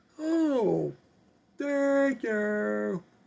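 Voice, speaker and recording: A man puts on a character voice pitched extremely high. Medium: solo performance. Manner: eager, repetitive.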